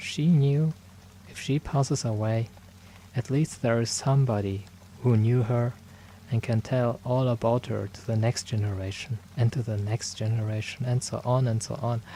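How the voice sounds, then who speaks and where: Somewhat breathy, a man speaks in a gentle tone that is dark and mellow. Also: medium pitch for a man, ordinary pitch variation, moderate pace. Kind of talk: ASMR roleplay. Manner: soft-spoken, gentle; caring, reassuring.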